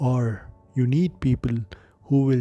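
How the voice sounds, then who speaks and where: Soft-spoken and calm in tone, a man talks at a medium pitch with fairly even intonation while music plays in the background. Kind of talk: late-night reflective monologue, relaxation talk. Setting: background relaxing music. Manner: soft-spoken, calm.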